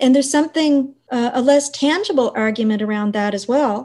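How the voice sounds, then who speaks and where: A woman talks in a somewhat breathy voice, her pitch varying in an ordinary way as she keeps a moderate pace. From western Prince Edward Island. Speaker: university dean, historian. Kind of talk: interview.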